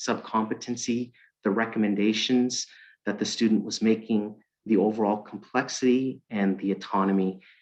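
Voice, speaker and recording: A normal speaking voice, medium in speed, its pitch shifting in an ordinary way. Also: man. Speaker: employer relations specialist. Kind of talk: webinar presentation. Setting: online webinar.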